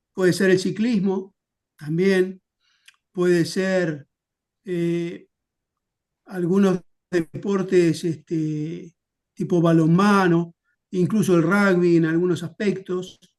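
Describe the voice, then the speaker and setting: Speaking very slowly in a monotone, flat intonation with a Uruguayan accent, a man with a high pitch leaves long, frequent pauses. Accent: Rioplatense Spanish (Uruguayan). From Uruguay, Montevideo. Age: 60s. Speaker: historian. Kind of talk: interview.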